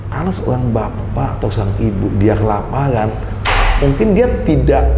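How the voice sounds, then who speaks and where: Noticeable background noise is present. A man speaks fairly slowly over it. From Indonesia, Lampung (Telukbetung). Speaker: Senate (DPD) candidate, businessman. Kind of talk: interview. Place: office. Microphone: lapel.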